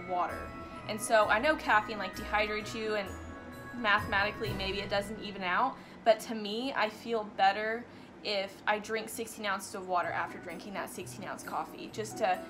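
Over music in the background, a woman speaks with big swings in loudness and ordinary pitch variation. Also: moderate pace. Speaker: fitness vlogger. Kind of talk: casual vlog chat. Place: home room.

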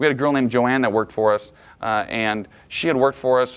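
Words pour out of a man at a very fast pace. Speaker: management trainer. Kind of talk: lecture. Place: meeting room.

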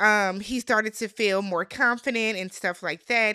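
A woman's bright, sharp, animated tone, dry with no echo, against a quiet background. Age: 30s. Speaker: YouTube reality TV recapper. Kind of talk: casual recap monologue. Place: home room. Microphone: studio mic.

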